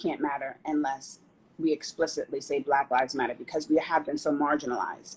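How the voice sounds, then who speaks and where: A woman speaks in a very deep, low pitch with an American accent. Her pitch variation is ordinary. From US Northeast, Teaneck, New Jersey. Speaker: city council member. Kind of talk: interview. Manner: soft-spoken.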